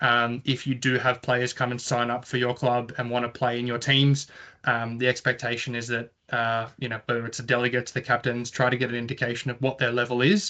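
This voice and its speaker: Speaking with an Australian accent at a fairly quick pace, a man with a medium pitch and a bright, sharp tone keeps a monotone, flat intonation against a quiet background. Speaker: tennis competition organiser. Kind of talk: online information session presentation. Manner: fast.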